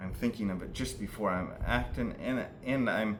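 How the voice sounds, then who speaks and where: Audible room echo follows a man whose fairly low voice shows ordinary pitch variation. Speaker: self-help video maker. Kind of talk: monologue explaining mental health techniques. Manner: slow; halting, stuttering.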